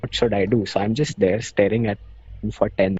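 A man with an Indian accent talks at a fairly quick pace. His pitch is medium and his intonation fairly even. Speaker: law student guest. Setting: video call.

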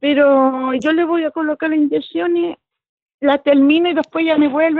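Speaking in a Chilean accent, a woman has a high pitch with ordinary variation. Her pace is moderate. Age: old. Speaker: church member. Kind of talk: casual chat.

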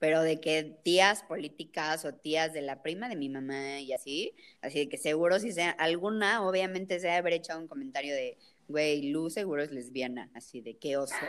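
In a very deep, low pitch, a woman speaks with a Mexican accent at a moderate pace and with ordinary pitch variation, on a very clean recording with a silent background. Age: 20s. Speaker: podcast co-host. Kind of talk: casual chat.

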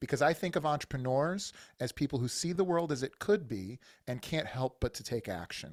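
A man with an unremarkable speaking voice, fairly high pitched and with lively intonation, is heard with a dry, close sound with no echo on a very clean recording with a silent background. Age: 40s. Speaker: business coach and army veteran. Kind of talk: interview.

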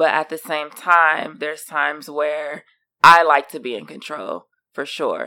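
A woman's very deep, low voice with vocal fry, a bright, sharp tone, big swings in loudness, fairly even intonation and a fairly slow pace. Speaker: co-host, wife.

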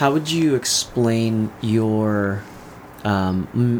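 Behind a man talking at a medium pitch, noticeable background noise can be heard. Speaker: podcast host. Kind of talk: casual interview chat.

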